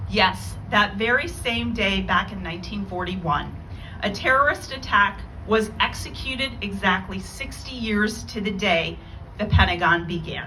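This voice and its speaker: A moderate pace, with audible room echo and noticeable background noise. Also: woman. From Iran. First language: Farsi. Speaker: lawyer and keynote speaker. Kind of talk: memorial keynote speech. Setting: memorial event with audience. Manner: formal.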